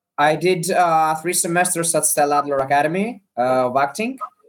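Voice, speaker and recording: Speaking at a moderate pace, a man has a Greek accent. His pitch is fairly high, with ordinary variation. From Greece. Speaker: actor and comedian. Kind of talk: interview. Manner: halting.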